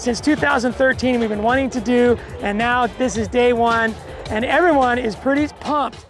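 At a moderate pace, the speech sounds dry with no echo while music plays clearly in the background. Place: open country. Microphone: handheld.

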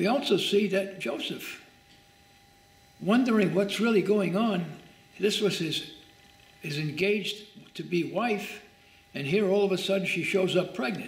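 Audible room echo surrounds a man speaking at a high pitch and a fairly slow pace. His pitch variation is ordinary, and he leaves long, frequent pauses. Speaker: pastor. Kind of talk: bible study teaching. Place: church.

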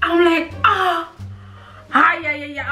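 A woman's raised, projected voice over faint music in the background. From South Africa. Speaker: YouTuber. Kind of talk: casual storytime talk to camera while eating. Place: home room. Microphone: camera far.

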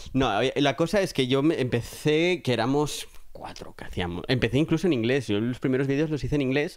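A man's fairly high voice, an ordinary speaking voice, with ordinary pitch variation and a fairly quick pace. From Catalonia, Spain (Alcarràs, near Lleida). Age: 30s. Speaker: film production worker. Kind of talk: casual chat.

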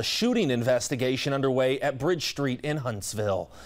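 Against a quiet background, the speaker moves at a fairly quick pace with ordinary pitch variation. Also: man. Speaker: news anchor. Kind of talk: news anchoring, live studio handoff. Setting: studio. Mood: serious breaking news tone. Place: studio.

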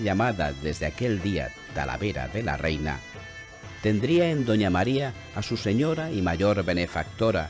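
Over music in the background, a man with a fairly low pitch talks at a fairly slow pace with very wide pitch swings. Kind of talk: historical documentary narration. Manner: solemn, measured.

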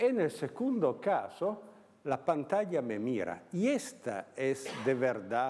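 Speaking in an Italian accent, a man with a dark, mellow tone talks at a very slow pace and swings his pitch very widely. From Italy, Turin. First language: Italian (speaking Spanish). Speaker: philosopher. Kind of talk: lecture. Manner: halting.

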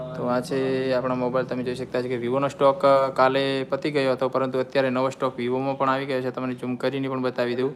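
Over noticeable background noise, a man speaks with a medium pitch. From north Gujarat, Banaskantha (Kankrej). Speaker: shop employee and vlogger. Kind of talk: live-stream shop tour. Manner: animated.

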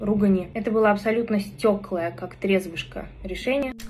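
A woman speaks over light background noise. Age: 20s. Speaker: video blogger. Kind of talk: personal vlog monologue. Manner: casual, with swearing. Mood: sad, confessional.

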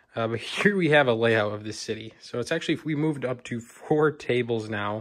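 Speaking with ordinary pitch variation, a man keeps a moderate pace over a quiet background. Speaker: hobby vlogger. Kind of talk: casual vlog chat. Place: home room. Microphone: phone near.

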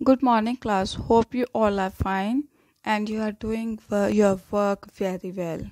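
Recorded dry with no echo against a quiet background, a woman speaks at a fairly high pitch with ordinary pitch variation. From India. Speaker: school teacher. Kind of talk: lecture. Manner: slow. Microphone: phone near.

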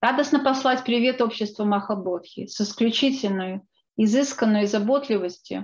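The voice is somewhat breathy, with ordinary pitch variation. It moves at a moderate pace over a quiet background. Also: woman, fairly high pitch for a woman. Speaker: book co-author and researcher; presenter. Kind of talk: lecture. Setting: video call. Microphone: video call.

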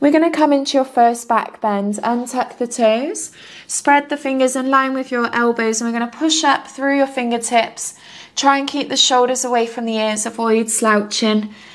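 In a high pitch and a gentle tone, a woman speaks with fairly even intonation. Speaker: yoga instructor. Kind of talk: guided yoga class, calm step-by-step cueing. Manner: soothing, slow and unhurried; gentle, encouraging. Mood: calm, soothing.

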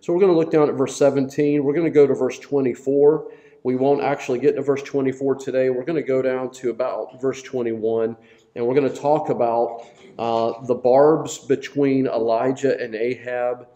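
At a moderate pace, the voice keeps a fairly even intonation over a quiet background. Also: man. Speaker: Bible study teacher. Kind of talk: sermon. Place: church. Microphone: lapel.

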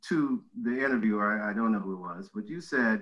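A man at a fairly quick pace, with very wide pitch swings, against a quiet background. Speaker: host interviewer. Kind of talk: interview question anecdote. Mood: warm, laughing. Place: home room. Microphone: video call.

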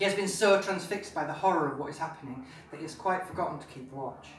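A man speaking at a fairly quick pace, with audible room echo and light background noise. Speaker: author. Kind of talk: live reading of own fantasy novel. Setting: pub, live audience. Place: bar. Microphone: camera far.

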